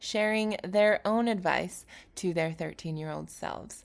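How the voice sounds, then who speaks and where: In a very clean recording with a silent background, a woman speaks in an upbeat tone at medium pitch with ordinary pitch variation. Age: 30s. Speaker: podcast host and basketball player. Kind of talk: podcast monologue.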